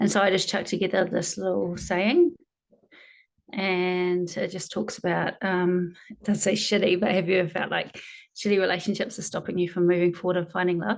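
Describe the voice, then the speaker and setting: This woman talks at a fairly quick pace with a medium pitch. Her intonation is monotone and flat. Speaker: hypnotherapist. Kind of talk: casual screen-share tutorial.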